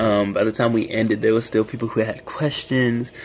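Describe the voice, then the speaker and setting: In an ordinary speaking voice, a man with an American accent talks at a moderate pace, his medium pitch held in fairly even intonation. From US South, Raleigh, North Carolina. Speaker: student club president, livestreamer. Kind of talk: casual livestream chat. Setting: livestream on a university campus.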